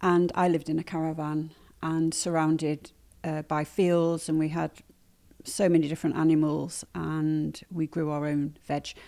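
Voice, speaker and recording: In a slight northern English accent, a woman speaks at a moderate pace with a very deep, low pitch and a dark, mellow tone. Her intonation is monotone and flat, on a very clean recording with a silent background. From northern England, Manchester. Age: 60s. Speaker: nettle weaver and sustainability advocate. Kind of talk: podcast interview. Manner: hesitant, many fillers.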